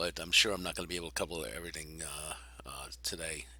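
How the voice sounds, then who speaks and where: A man speaks at a fairly quick pace with vocal fry and a bright, sharp tone. The recording is very clean, with a silent background. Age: 60s. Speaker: gaming video creator. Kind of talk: gameplay tutorial. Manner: halting, many fillers.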